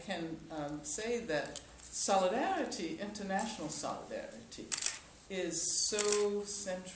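Noticeable background noise and audible room echo. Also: woman. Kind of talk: press conference answer. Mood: warm, occasionally laughing. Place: hall.

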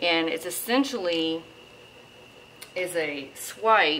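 Over light background noise, a woman with a fairly low pitch and ordinary pitch variation speaks at a very slow pace. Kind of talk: tutorial. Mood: relaxed, hopeful. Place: home room.

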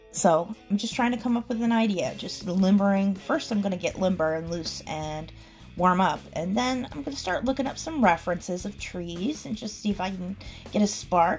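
Faint music plays in the background as a woman talks at a moderate pace. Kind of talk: process commentary voice-over.

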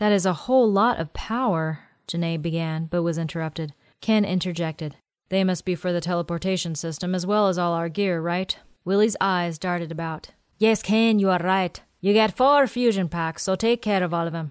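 At a moderate pace, a woman speaks in an unremarkable speaking voice that is fairly low, with ordinary pitch variation. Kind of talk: audiobook narration of sci-fi fiction. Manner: measured narrator, shifts into character voices for dialogue.

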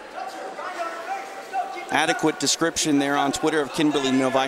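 A man at a moderate pace, animated and energetic, in a dry sound with no echo amid noticeable background noise. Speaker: play-by-play commentator. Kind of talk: live sports commentary. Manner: animated play-by-play, steady and energetic. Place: hall.

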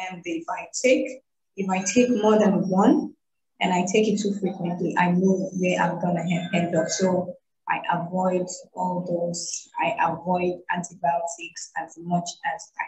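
A woman speaks at a fairly slow pace with fairly even intonation and audible room echo. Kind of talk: interview answer. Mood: earnest, personal. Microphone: video call.

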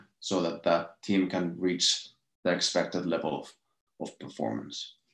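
A man at a fairly slow pace, with audible room echo and a quiet background. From Finland. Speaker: innovation expert, lecturer; lecturer. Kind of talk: lecture. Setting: video call. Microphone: webcam.

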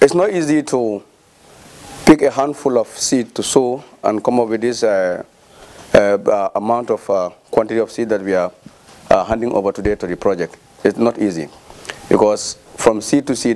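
A man at a moderate pace, with ordinary pitch variation and long, frequent pauses. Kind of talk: speech at handover ceremony. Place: hall. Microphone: handheld.

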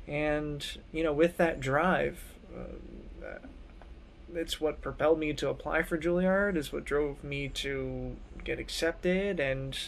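A man's fairly high voice with an American accent, fairly even intonation, and light background noise. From US Northeast (southern New Jersey). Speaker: music fellow, trumpet player and mentor. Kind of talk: personal introduction video. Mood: calm, reflective. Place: home room. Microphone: phone near.

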